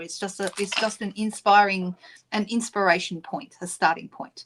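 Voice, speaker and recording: A woman with an Australian accent speaks at a medium pitch on a very clean recording with a silent background. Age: 60s. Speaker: craft demonstrator. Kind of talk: live-stream craft tutorial and chat. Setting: live stream at craft desk. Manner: casual, frequent filler ums.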